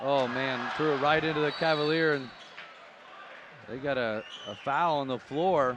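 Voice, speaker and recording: At a fairly high pitch and a moderate pace, a man speaks with long, frequent pauses. Audible room echo and noticeable background noise are present. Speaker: basketball play-by-play commentator. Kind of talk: live commentary. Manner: excitable.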